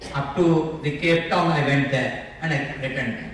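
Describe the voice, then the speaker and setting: Audible room echo and noticeable background noise surround a man who talks fairly slowly at a fairly high pitch. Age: 60s. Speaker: safety engineer and environmental lawyer, panelist. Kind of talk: panel discussion.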